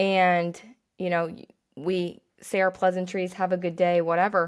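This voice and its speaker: A woman's ordinary speaking voice at medium pitch and moderate pace, on a very clean recording with a silent background. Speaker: podcast host and running coach. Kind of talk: casual monologue. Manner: rambling, many fillers.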